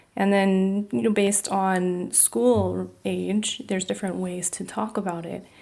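A woman speaks with a General American accent. The recording is very clean, with a silent background. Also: hardly any pauses. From California, US. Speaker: pediatrician. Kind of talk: interview.

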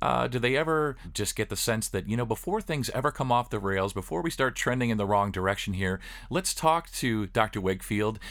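Using a normal speaking voice, a man with a medium pitch talks at a fairly quick pace with lively intonation and hardly any pauses, in a very clean recording with a silent background. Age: 50s. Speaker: podcast host. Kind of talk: interview.

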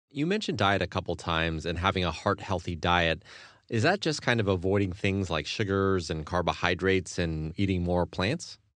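A man with a very deep, low voice talks at a fairly quick pace over a quiet background. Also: ordinary pitch variation. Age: 30s. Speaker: podcast host. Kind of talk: interview.

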